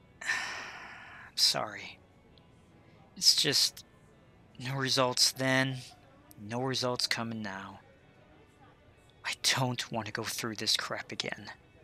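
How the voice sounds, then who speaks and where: Using a put-on character voice, a man speaks raspily at medium pitch, very slowly, with long, frequent pauses. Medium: audio drama. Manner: gruff, sarcastic.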